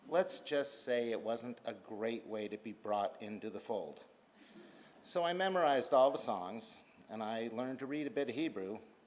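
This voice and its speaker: Lively intonation marks a man's plain, everyday voice. His pitch is medium and his pace moderate. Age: 60s. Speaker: synagogue member giving a donation appeal. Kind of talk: prepared speech.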